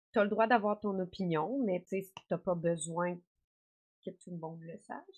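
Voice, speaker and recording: A woman with a Quebec accent speaks at a moderate pace and medium pitch, her tone animated, her pitch variation ordinary and her loudness swinging widely. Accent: Québécois French. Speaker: actress and gaming content creator. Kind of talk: interview.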